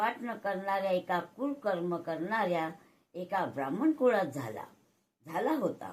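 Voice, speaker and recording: A woman speaks at a medium pitch. Her pitch swings very widely. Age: old. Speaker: grandmother reciting scripture. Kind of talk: devotional scripture reading. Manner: devotional.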